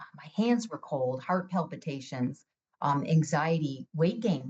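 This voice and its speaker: Somewhat breathy and very deep, low in pitch, a woman's voice moves at a moderate pace. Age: 60s. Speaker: patient advocate. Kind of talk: personal testimony.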